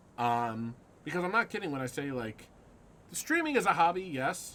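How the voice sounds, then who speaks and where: A man speaks at a fairly quick pace. His pitch sits fairly high for a man. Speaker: gaming streamer. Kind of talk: live gameplay commentary. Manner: hesitant, many ums.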